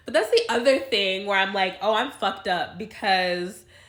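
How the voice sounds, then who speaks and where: Her tone is bright and sharp. The woman keeps a fairly quick pace. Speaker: YouTuber. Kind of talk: casual vlog monologue. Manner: rambling with tangents.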